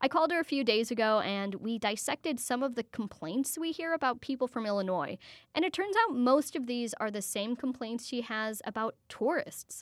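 On a very clean recording with a silent background and a dry, close sound with no echo, a high-pitched woman with an American accent speaks at a moderate pace with lively intonation and hardly any pauses. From US Midwest. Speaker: radio host. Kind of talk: radio magazine show. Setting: studio.

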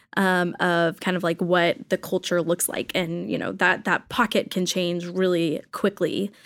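A woman with a fairly low pitch speaks at a moderate pace in an American accent, with an ordinary speaking voice. The recording is very clean, with a silent background. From rural Texas. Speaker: church worker. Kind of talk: casual chat.

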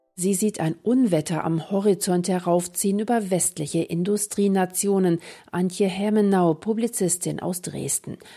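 A woman's dark, mellow voice at medium pitch and moderate pace, with fairly even intonation, in a very clean recording with a silent background. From Saxony, Germany. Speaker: radio host. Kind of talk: radio interview.

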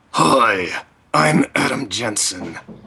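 A man's put-on character voice, raspy and gravelly. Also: fairly low pitch for a man. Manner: clenched-jaw delivery.

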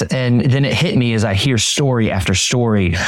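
A man with an American accent has an ordinary speaking voice at medium pitch. His intonation is lively. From Florida, US. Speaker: pastor and author. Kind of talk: interview.

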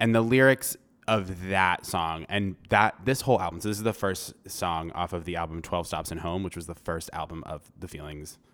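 Speaking with an American accent and hardly any pauses, a man uses a very deep, low pitch with ordinary variation at a moderate pace, in a very clean recording with a silent background. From Vermont, US. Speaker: actor and comedian. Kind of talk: casual chat. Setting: studio.

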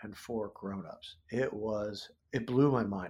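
An ordinary speaking voice from a man with an American accent, medium pitch and ordinary pitch variation, on a very clean recording with a silent background. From US Midwest, central Ohio. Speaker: comic book writer and illustrator. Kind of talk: interview conversation.

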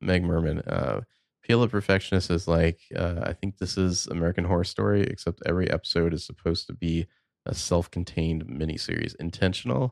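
A man's very deep, low voice with vocal fry, fairly quick and with ordinary pitch variation, dry and close with no echo on a very clean recording against a silent background. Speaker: podcast host. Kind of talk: casual chat.

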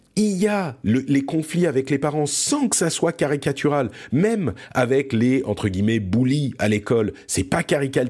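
A man speaks with a dark, mellow tone at a very slow pace. His pitch swings very widely. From France. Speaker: podcast host. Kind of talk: casual chat.

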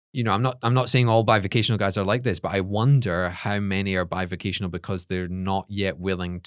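Speaking very fast with ordinary pitch variation and a Scottish accent, the voice comes through on a very clean recording with a silent background. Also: man. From Scotland. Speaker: podcast co-host, seminary staff. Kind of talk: casual chat.

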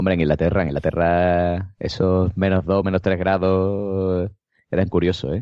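In an Andalusian accent, a man talks with a very deep, low pitch. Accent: Andalusian Spanish (Cádiz). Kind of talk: casual chat.

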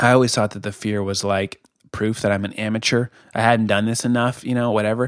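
A man's medium-pitched voice in a General American accent, with a fairly quick pace and fairly even intonation. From Colorado. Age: 30s. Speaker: podcast host and blogger. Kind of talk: casual solo podcast monologue. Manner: hesitant, many fillers and repetitions.

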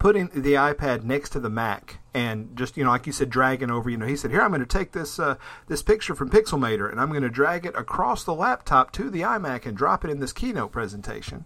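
Very fast, lively speech from a man with a bright, sharp tone and fairly high pitch. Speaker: podcast host. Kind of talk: casual tech podcast discussion.

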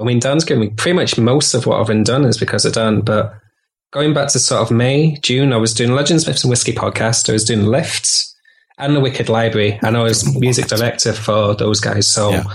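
A man with a Yorkshire accent talks at a fairly quick pace, somewhat breathy, with very even loudness and ordinary pitch variation. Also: medium pitch for a man. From Yorkshire, northern England. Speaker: composer and musician. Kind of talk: casual chat.

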